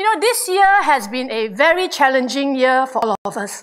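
A woman's high-pitched voice with very wide pitch swings against a quiet background. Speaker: pastor. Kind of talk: sermon to a congregation. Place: church. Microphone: handheld.

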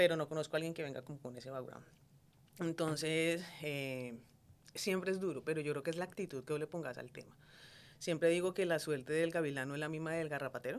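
Delivered at a fairly quick pace, the speech has ordinary pitch variation. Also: woman. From Colombia, Cali. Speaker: entrepreneur, food business owner. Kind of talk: interview conversation. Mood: reflective, calm. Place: studio. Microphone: studio mic.

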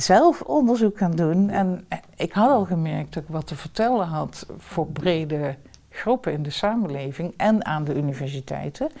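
Against a quiet background, a woman with a fairly low pitch and a dark, mellow tone talks at a fairly slow pace with lively intonation. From southern Netherlands, Limburg; Netherlands. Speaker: professor. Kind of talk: interview. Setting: at home. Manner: talkative. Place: home room.

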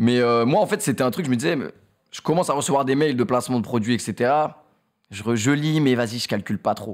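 Lively intonation marks a man's fairly quick speech. He leaves long, frequent pauses over a quiet background. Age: 20s. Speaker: streamer and YouTuber; streamer, YouTuber. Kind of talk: casual chat interview; interview answer. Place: studio. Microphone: studio mic.

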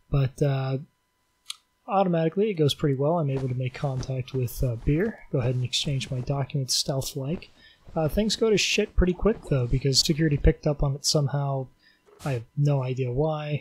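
This man has a normal speaking voice with a fairly high pitch. He talks at a fairly quick pace. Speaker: video game player and commentator. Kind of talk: angry gaming rant, sarcastic commentary over gameplay footage. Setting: recorded late at night at home, voiceover on gameplay. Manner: sarcastic, increasingly furious, heavily profane, bitter and sneering; sardonic, deadpan setup that builds into shouting.

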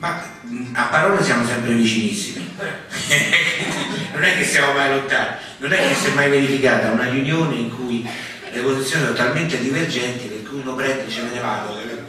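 A man speaks at a medium pitch with ordinary pitch variation. Strong room echo surrounds him. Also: moderate pace.

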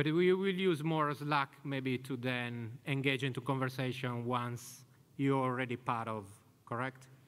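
A man talks with an Italian accent. His pace is fairly slow. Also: ordinary pitch variation. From Italy. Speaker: conference speaker, community event organizer; conference speaker. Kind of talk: conference talk. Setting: stage with audience. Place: hall. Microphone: podium.

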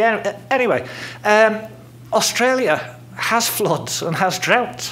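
The man speaks with lively intonation. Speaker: speaker. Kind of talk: lecture. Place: hall. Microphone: podium.

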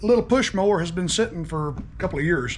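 A man speaks at a moderate pace in a high voice with ordinary pitch variation. Light background noise sits behind him. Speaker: small engine repair vlogger. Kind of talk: casual vlog chat. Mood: cheerful, joking. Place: garage. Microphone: phone near.

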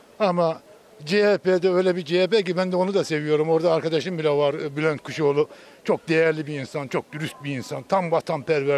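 Heard in a dry sound with no echo, a man with a fairly high pitch speaks at a moderate pace. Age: 50s. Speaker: street interviewee. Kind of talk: street interview opinion. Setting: outdoors. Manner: animated. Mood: critical, animated political opinion. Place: street. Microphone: handheld.

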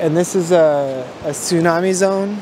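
Noticeable background noise surrounds a man with fairly even intonation. The sound is dry with no echo. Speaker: travel vlogger. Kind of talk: casual vlog chat. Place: beach. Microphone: phone near.

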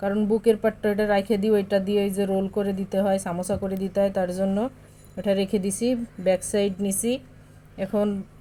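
A monotone, flat delivery in a dark, mellow tone. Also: woman, medium pitch for a woman. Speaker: cooking vlogger, mother. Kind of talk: cooking vlog narration. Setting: home kitchen. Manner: casual, chatty.

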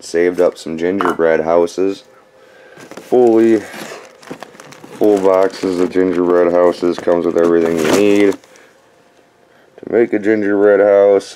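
A man's very deep, low voice, monotone and flat, at a moderate pace with long, frequent pauses over light background noise. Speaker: dumpster diving vlogger. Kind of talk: casual vlog chat. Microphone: phone near.

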